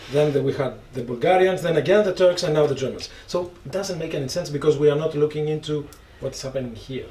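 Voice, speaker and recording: A man speaks very fast in a Greek accent, his pitch fairly high with ordinary variation. Noticeable background noise runs underneath. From Greece. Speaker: panelist. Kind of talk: panel discussion.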